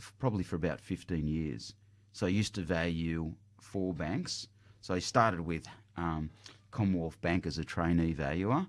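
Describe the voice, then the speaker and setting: A man speaks with an Australian accent in a very deep, low voice at a moderate pace. His pitch varies in an ordinary way, and the recording is very clean with a silent background. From Australia, Greek parents. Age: 50s. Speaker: property buyer's agent, company director. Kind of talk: radio interview. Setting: radio studio.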